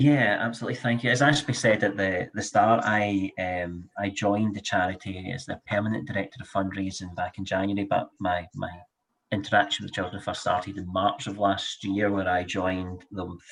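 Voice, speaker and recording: A man with a Scottish accent, fairly low pitch and fairly even intonation. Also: moderate pace. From Scotland, Glasgow. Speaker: charity fundraising director. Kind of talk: panel webinar discussion.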